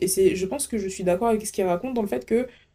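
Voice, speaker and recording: Very fast delivery with lively intonation, a dark, mellow tone and an Antillean accent, on a very clean recording with a silent background. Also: woman. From French Antilles. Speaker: podcast host. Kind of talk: casual monologue. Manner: animated.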